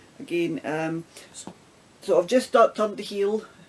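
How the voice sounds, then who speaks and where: Lively intonation marks this woman's speech in a Scottish accent. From Scotland. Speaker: knitting vlogger. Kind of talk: casual talk to camera.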